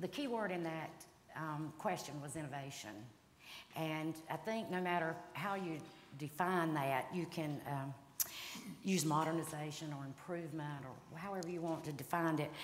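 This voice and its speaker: With a Southern US accent, a woman talks at a moderate pace in a very deep, low pitch with ordinary pitch variation, and audible room echo surrounds her. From North Carolina, Cabarrus County. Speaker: state legislator. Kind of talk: panel discussion. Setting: stage with audience.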